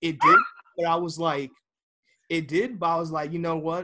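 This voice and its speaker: With a bright, sharp tone, the delivery keeps to a fairly quick pace. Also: man. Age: 20s. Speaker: podcast host. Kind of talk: casual chat. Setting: video call.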